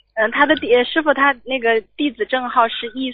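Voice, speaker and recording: The woman's voice is high, and her pitch varies in an ordinary way. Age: 20s. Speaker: radio call-in listener. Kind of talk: call-in consultation.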